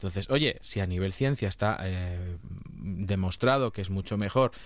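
A man speaks in an ordinary speaking voice. His pitch is fairly low and varies in an ordinary way. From Castilla-La Mancha, Spain. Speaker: nutritionist, podcast host. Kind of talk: casual interview chat.

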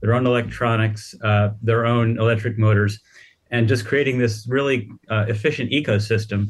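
A somewhat breathy man with an American accent talks at a fairly quick pace in a monotone, flat intonation at medium pitch, in a very clean recording with a silent background. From United States. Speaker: automotive news editor. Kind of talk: radio panel interview.

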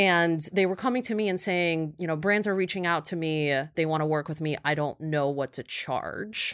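A woman's unremarkable speaking voice, fairly low in pitch, with ordinary pitch variation, a moderate pace and hardly any pauses, on a very clean recording with a silent background. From Ukraine, Kyiv; teen years in Ohio. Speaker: influencer marketing agency founder. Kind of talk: interview.

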